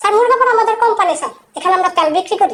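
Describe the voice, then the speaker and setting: In a squeaky, put-on character voice with an extremely high pitch, the speaker rattles along at a very fast pace. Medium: voice reel. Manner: deferential, keeps saying "sir".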